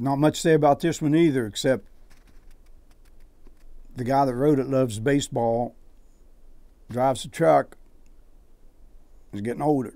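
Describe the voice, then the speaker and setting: Speaking at a moderate pace with an Appalachian accent, a man leaves long, frequent pauses. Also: medium pitch for a man, ordinary pitch variation, very clean recording, silent background. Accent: Appalachian American. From West Virginia, US. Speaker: poet; air force veteran. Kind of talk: reading his own poetry and prose.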